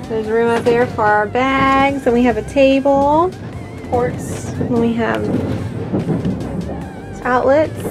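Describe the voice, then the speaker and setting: A woman talks at a very slow pace, leaving long, frequent pauses. Music plays clearly in the background. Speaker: mother vlogger. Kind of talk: casual vlog chat. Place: train. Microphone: phone near.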